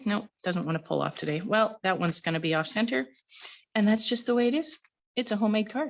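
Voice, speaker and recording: Fairly high-pitched and somewhat breathy, a woman talks with lively intonation. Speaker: card-making crafter. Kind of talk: live-stream tutorial. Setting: live stream from home. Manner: casual.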